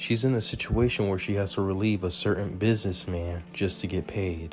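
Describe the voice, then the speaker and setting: Music plays in the background as a man talks at a moderate pace and a fairly low pitch. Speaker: gaming video narrator. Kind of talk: game story explanation. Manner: quiet at times.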